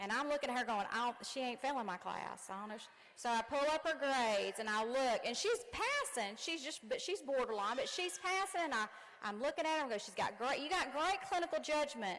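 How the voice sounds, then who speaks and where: Noticeable background noise sits behind a woman with a high pitch. Her tone is animated, with very wide pitch swings. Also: fairly quick pace. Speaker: commencement speaker, nursing instructor. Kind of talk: commencement speech. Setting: gym with audience.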